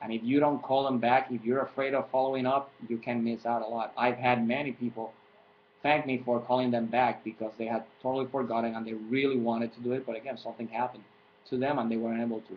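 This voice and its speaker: A man talks at a very fast pace with a Puerto Rican accent. His intonation is monotone and flat. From Puerto Rico. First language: Spanish. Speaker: fitness coach. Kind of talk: tutorial. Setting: webcam recording. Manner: halting.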